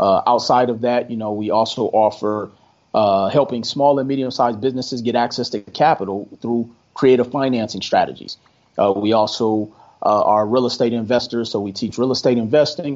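A man has an ordinary speaking voice at a medium pitch, with an American accent. He talks at a fairly quick pace with fairly even intonation. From Milwaukee, Wisconsin, US Midwest. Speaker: credit specialist and entrepreneur. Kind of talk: podcast interview.

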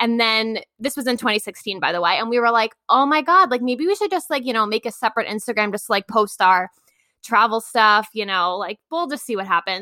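A woman with a New York accent speaks at a fairly quick pace, her fairly high voice bright and sharp with lively intonation. The recording is very clean, with a silent background and a dry, close sound with no echo. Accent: New York American. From Long Island, New York. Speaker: travel blogger. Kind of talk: interview.

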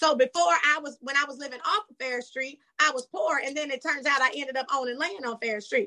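Raising and projecting her voice, a woman speaks in a high pitch with a bright, sharp tone, ordinary pitch variation and hardly any pauses. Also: fairly quick pace. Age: 40s. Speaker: reality TV cast member. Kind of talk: interview.

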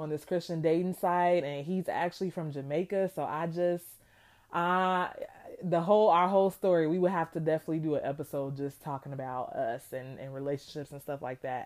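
Her pitch is fairly low, with ordinary pitch variation. The woman keeps a fairly quick pace. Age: 20s. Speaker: podcast host and clinical therapist. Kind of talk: casual monologue. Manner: animated.

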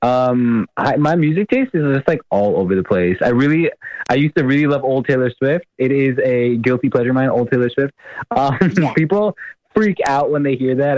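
A man with an American accent talks at a fairly quick pace in a medium pitch, with lively intonation and very even loudness. The sound is dry and close with no echo, and it's an ordinary speaking voice. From US Midwest, Ann Arbor, Michigan. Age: 20s. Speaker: political candidate and medical student. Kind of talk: interview.

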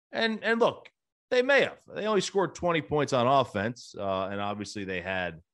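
Over a quiet background, a man speaks in a normal speaking voice at a moderate pace. His intonation is lively. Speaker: sports betting podcast host. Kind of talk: solo podcast commentary. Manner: frequent filler words. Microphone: new equipment.

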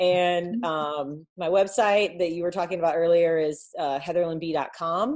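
Against a quiet background, an unremarkable speaking voice goes at a fairly slow pace with ordinary pitch variation. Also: woman, fairly low pitch for a woman. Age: 30s. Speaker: online business coach. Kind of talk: casual chat.

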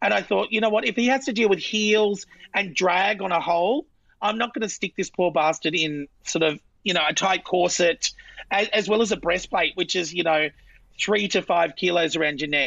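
With ordinary pitch variation and a medium pitch, a woman talks at a moderate pace. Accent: strong Australian. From Australia, central Queensland. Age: 40s. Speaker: drag queen. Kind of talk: casual chat.

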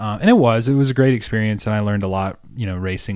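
A man's fairly low voice with a slight Southern US accent at a very fast pace, in a very clean recording with a silent background. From US South, South Carolina. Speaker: podcast host, cyclist. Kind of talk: casual chat.

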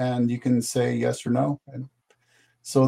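His tone is dark and mellow, at a medium pitch. The man speaks at a fairly slow pace. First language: not English. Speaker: author. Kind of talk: casual chat.

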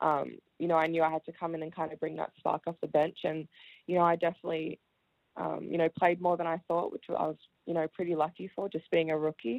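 The delivery is very fast and monotone, with flat intonation. The accent is Australian. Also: woman, fairly low pitch for a woman. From Melbourne, Australia. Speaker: professional basketball player. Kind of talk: radio interview. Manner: hesitant with fillers.

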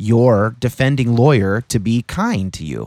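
An unremarkable speaking voice from a man, medium in pitch with ordinary pitch variation, dry and close with no echo. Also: very clean recording, silent background. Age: 30s. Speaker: political podcast host, guest. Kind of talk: casual conversation.

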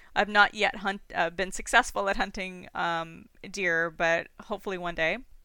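A woman with a Canadian accent in a normal speaking voice, medium pitch, fairly even intonation and moderate pace, on a very clean recording with a silent background. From Toronto, Canada. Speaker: falconer and hunter, graduate student scientist. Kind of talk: casual interview conversation.

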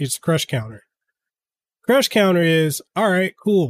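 Dry and close with no echo, this recording has a man speaking at a moderate pace. His fairly high pitch makes very wide swings. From Samoa, then Memphis, Tennessee. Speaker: podcast host and content creator. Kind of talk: casual solo podcast monologue. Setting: live stream with chat. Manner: off the cuff.

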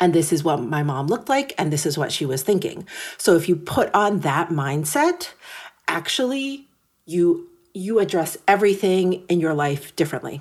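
On a very clean recording with a silent background, a woman with an unremarkable speaking voice, a fairly low pitch and lively intonation speaks at a moderate pace. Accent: American. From New York City. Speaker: fashion editor. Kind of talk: interview.

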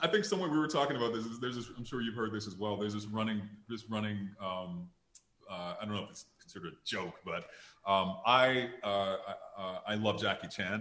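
This man speaks at a fairly quick pace with an American accent, his fairly low voice carrying a bright, sharp tone. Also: ordinary pitch variation. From Detroit, Michigan. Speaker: actor. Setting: video call, live stream. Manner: animated.

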